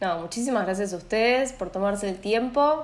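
A woman talks fairly quickly with lively intonation while noticeable background noise sounds behind her. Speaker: psychologist. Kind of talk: interview on a podcast.

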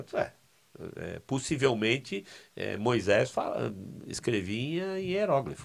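Vocal fry and very wide pitch swings at a very slow pace, broken by long, frequent pauses. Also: man, medium pitch for a man. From Brazil, São Paulo city. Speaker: seminary professor. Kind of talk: casual interview. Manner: halting, repetitive.

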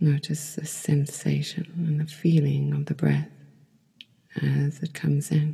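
The voice is soft-spoken and moves at a fairly slow pace. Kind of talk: guided yoga nidra meditation, soothing instructions to a listener lying down. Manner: soft and calming, voice rising and falling in volume.

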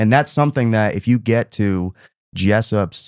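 Over a very clean recording with a silent background, a man speaks. His pitch is fairly low, with ordinary pitch variation. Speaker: movie podcast co-host. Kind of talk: casual chat. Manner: soft-spoken.

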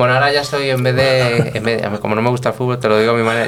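Very fast speech over noticeable background noise. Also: man. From Spain, Toledo (Guadamur). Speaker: restaurant director and sommelier. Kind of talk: casual interview. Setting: restaurant.

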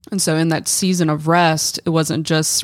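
A woman with a very deep, low pitch speaks at a fairly slow pace in a monotone, flat delivery. The recording is very clean, with a silent background. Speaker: guest, church leader. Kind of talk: casual chat.

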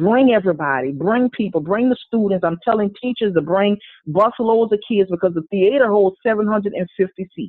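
Delivered in a Louisiana accent, the speech has an animated tone. There are hardly any pauses. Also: moderate pace. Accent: Louisiana Southern. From New Orleans, Louisiana. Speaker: multi-talented artist. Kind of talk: casual interview chat. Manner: animated, humorous.

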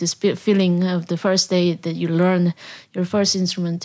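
In a very clean recording with a silent background, a woman with a Korean accent speaks at a moderate pace, fairly low in pitch and monotone, flat in intonation. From South Korea. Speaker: jazz drummer and band leader. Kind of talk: interview. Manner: halting.

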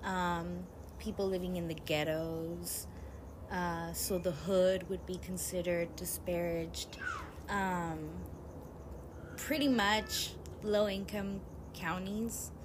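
A woman speaks very slowly with long, frequent pauses, and there is noticeable background noise. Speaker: podcast host. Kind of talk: angry rant. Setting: home, toddler nearby. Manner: fired-up, indignant, profane.

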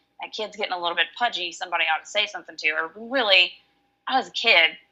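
Talking at a very fast pace in a Southern US accent, a woman with a fairly low pitch and a bright, sharp tone shows ordinary pitch variation. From Alabama. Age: 30s. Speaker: online coaching client. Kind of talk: casual chat.

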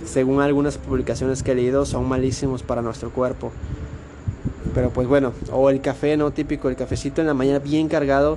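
A man at a medium pitch and fairly quick pace, monotone and flat, amid noticeable background noise. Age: 20s. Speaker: motivational podcaster. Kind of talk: motivational monologue. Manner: casual, halting with repetitions.

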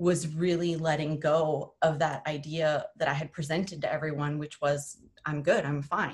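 With an American accent, a woman speaks in a very deep, low voice that is somewhat breathy, with monotone, flat intonation. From US Midwest (South Dakota). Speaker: communication studies professor. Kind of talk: interview conversation.

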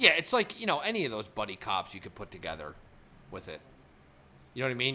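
At a fairly quick pace, a man talks in a bright, sharp tone. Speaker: podcast host. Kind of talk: casual chat.

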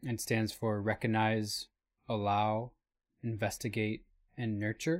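A man with a fairly low voice and an American accent speaks with long, frequent pauses. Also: very clean recording, silent background. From Michigan. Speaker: new media artist, podcast co-host. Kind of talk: casual chat.

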